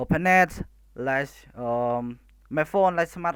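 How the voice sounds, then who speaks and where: With a Khmer accent, the voice moves at a very slow pace in a very clean recording with a silent background. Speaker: student. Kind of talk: class presentation. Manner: halting, many hesitations.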